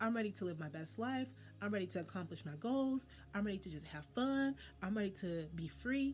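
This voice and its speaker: At a fairly quick pace, a somewhat breathy woman of medium pitch sounds animated, with lively intonation. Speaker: wellness channel host. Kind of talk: monologue to camera. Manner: fast.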